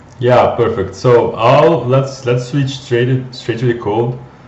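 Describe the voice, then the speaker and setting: This man speaks in a medium pitch with a Brazilian accent. Audible room echo can be heard. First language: Portuguese. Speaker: data scientist, company co-founder. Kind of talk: live coding tutorial. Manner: halting, many repeated words.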